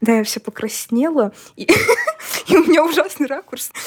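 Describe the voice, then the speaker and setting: A woman speaks with lively intonation. The sound is dry and close, with no echo. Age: 20s. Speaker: singer. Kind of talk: casual chat.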